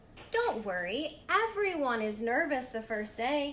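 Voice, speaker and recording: Putting on a character voice, a woman speaks fairly slowly at a high pitch against clear background noise. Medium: read story. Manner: brisk, gushing.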